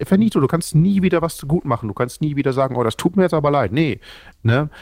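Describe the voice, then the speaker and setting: At a very fast pace, a man speaks with very wide pitch swings on a very clean recording with a silent background. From northern Germany (Oldenburg, Lower Saxony). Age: 30s. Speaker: social media creator, anti-bullying activist. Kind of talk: casual chat.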